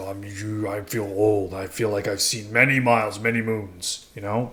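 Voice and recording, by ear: A man puts on a character voice with a weary tone, pitched fairly low. He talks at a moderate pace in a monotone, flat intonation.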